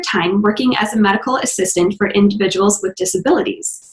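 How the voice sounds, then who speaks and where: Speaking at a fairly quick pace, a woman talks with an American accent. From US Midwest, Minnesota. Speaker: podcast host. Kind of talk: interview.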